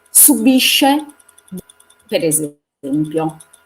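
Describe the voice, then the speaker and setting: A woman talks at a fairly low pitch with ordinary pitch variation. Music plays in the background. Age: 60s. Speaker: feminist activist. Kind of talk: panel discussion. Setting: live stream.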